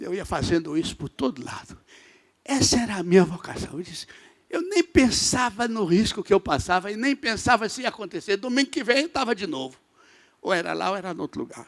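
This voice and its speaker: Speaking at a fairly quick pace in an animated tone, a high-pitched man swings very widely in pitch and sharply in loudness. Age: 80s+. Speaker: bishop, guest preacher. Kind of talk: sermon. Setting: church service.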